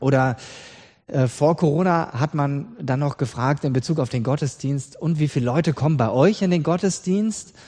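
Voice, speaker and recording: Lively in his intonation, a man speaks with a dark, mellow tone. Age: 40s. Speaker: pastor. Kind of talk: sermon.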